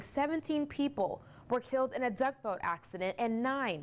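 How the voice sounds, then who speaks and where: A woman's plain, everyday voice with lively intonation at a moderate pace. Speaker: TV news anchor and reporter. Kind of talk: TV news anchoring.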